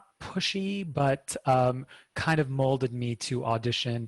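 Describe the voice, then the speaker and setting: A man sounds somewhat breathy in a dry, close recording with no echo, very clean and with a silent background. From Lebanon. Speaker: spiritual healer. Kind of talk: interview.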